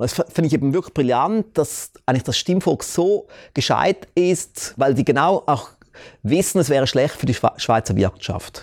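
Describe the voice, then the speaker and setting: A man in a normal speaking voice uses lively intonation at a fairly high pitch and moderate pace, with very even loudness on a very clean recording with a silent background and a dry, close sound with no echo. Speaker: talk show host and entrepreneur. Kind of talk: sales pitch; interview.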